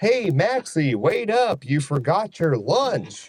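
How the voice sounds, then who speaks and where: A man uses a put-on character voice, pitched high and swinging very widely. He talks at a very slow pace. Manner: goofy, cartoonish.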